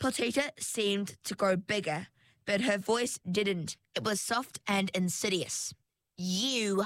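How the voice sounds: Here is a natural reading voice. The background is quiet.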